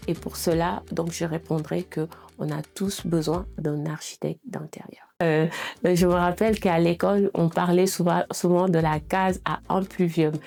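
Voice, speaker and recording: At a fairly slow pace, a woman speaks with a fairly low pitch, a dark, mellow tone and fairly even intonation. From Senegal (Dakar, Thiès). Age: 30s. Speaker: interior architect. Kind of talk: self-presentation interview. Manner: hesitant, many fillers.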